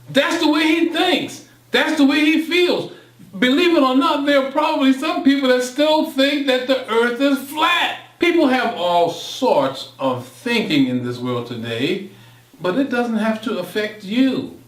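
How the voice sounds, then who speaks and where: Noticeable background noise and audible room echo surround a man with an American accent. He speaks fairly slowly at an extremely high pitch with lively intonation. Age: 60s. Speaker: motivational speaker. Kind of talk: monologue presentation. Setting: home studio. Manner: impassioned.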